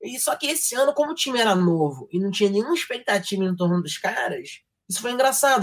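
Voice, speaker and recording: With a strong carioca accent, a man races along at a very fast pace, his pitch swinging very widely. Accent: strong stereotypical carioca. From Rio de Janeiro, Brazil. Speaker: sports journalism graduate, football commentator. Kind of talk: casual chat. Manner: fast, slurred speech.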